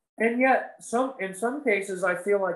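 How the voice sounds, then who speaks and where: Audible room echo surrounds the speaker. The delivery is fairly slow, in an American accent. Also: man. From northern Maine, US. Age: 40s. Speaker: country guitarist and guitar teacher; guest. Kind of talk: casual interview chat; interview answer. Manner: animated. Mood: warm, animated. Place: home room. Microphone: video call.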